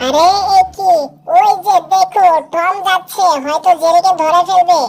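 This is a put-on character voice, squeaky and extremely high. It moves at a fairly slow pace. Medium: fan dub. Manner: playful, giggly.

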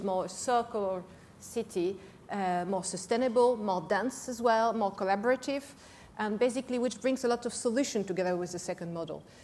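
A woman talks at a fairly quick pace. Her pitch varies in an ordinary way over light background noise. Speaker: panelist. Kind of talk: panel discussion answer. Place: stage. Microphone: lapel.

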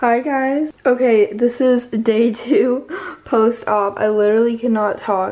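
A woman's strained, high voice at a very slow pace, with very even loudness and fairly even intonation. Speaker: vlogger. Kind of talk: casual vlog chat. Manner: strained speech with swollen jaw after surgery.

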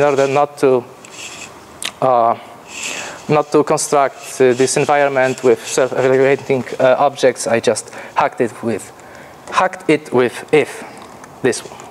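A man with a Polish accent and a nervous tone at a fairly slow pace, with noticeable background noise. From Poland. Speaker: programmer. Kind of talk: conference talk. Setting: stage with audience. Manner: nervous, halting.

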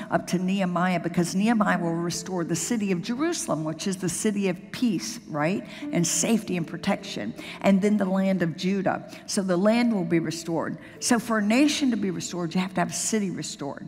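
Over faint music in the background, a woman talks at a fairly quick pace with ordinary pitch variation. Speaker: senior pastor. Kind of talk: sermon. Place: church. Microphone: headset.

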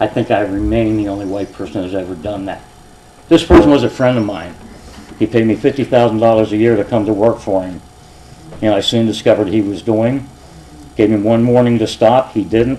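An American-accented man speaks fairly quickly at a fairly low pitch with ordinary pitch variation and long, frequent pauses, over noticeable background noise. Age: 60s. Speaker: retired police officer speaking at public meeting. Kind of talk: public comment at council meeting. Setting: council chambers with audience.

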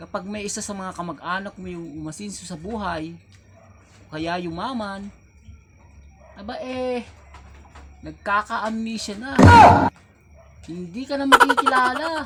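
A man with a high pitch uses a raised, projected voice, lively intonation and big swings in loudness over music in the background. He moves at a fairly slow pace with long, frequent pauses. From Philippines. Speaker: vlogger. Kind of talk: casual comedic monologue. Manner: animated.

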